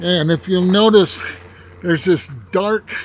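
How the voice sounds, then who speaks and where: The voice shows ordinary pitch variation, and the sound is dry with no echo. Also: man. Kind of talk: casual vlog commentary. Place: open country. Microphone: phone near.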